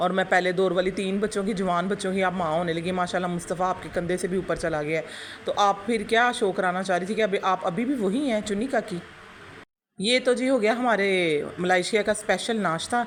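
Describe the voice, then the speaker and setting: A woman speaks with a Punjabi accent at a moderate pace. Her pitch sits in the middle, with ordinary variation. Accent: Punjabi-tinged Urdu. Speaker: YouTube reaction commentator. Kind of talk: critical reaction commentary. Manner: animated.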